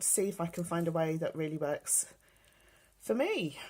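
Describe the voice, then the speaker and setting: This woman has a fairly low-pitched voice with a British accent. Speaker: beauty and fashion vlogger. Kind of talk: casual show-and-tell vlog.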